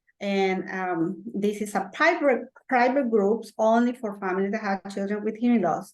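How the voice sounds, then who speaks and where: A woman speaks in a Spanish accent at a moderate pace. Her pitch is medium, with ordinary variation. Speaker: parent support group organizer. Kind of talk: presentation. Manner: halting.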